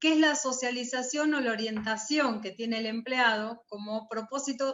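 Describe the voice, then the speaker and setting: A normal speaking voice from a woman, fairly high in pitch, with ordinary pitch variation and a moderate pace. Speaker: university lecturer. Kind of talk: lecture.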